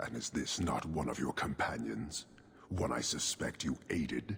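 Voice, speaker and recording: A man growls in a put-on character voice at a very deep, low pitch. His pace is moderate. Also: ordinary pitch variation. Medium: video game. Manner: measured, formal, unyielding.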